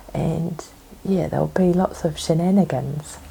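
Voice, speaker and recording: Noticeable noise can be heard behind a woman as she talks. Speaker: knitting podcaster. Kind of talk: casual chat.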